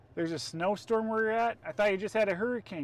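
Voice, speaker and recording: A man with an American accent speaks at a high pitch. His pitch varies in an ordinary way against a quiet background. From Minnesota. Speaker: storm chaser streamer. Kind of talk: live stream commentary. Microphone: adjusting mic, audio issues.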